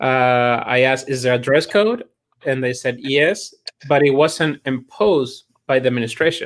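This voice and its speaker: This man speaks with a Chilean accent at medium pitch and a moderate pace, with ordinary pitch variation. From Chile, Santiago. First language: Spanish. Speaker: chiropractor and college admissions staff. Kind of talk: interview. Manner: halting, with many repetitions.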